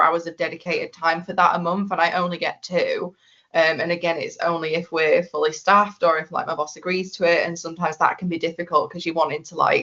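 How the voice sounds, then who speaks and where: Speaking at a very fast pace with hardly any pauses, a woman with a Yorkshire accent uses a fairly low pitch and a monotone, flat intonation. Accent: broad Yorkshire. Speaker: biomedical scientist. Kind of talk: podcast interview. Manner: toned down accent for podcast.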